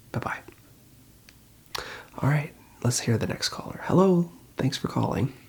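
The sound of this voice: Someone whispers at a fairly slow pace with vocal fry. The voice has a husky, rough edge.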